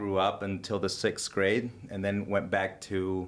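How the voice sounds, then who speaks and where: At a fairly slow pace, a man speaks with a slight Honduran accent. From Honduras. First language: Spanish. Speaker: businessman. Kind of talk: casual interview. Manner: halting, many fillers and restarts.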